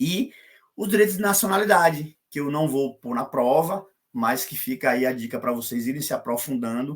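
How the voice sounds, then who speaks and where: A man with a Brazilian accent talks at a moderate pace with lively intonation and a fairly high pitch. The recording is very clean, with a silent background. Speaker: law professor. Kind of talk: lecture.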